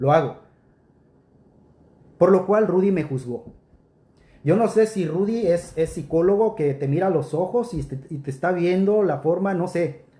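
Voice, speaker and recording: A man speaks fairly slowly in a high voice with a dark, mellow tone. He takes long, frequent pauses, and his pitch varies in an ordinary way. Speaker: preacher. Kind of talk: rebuttal commentary.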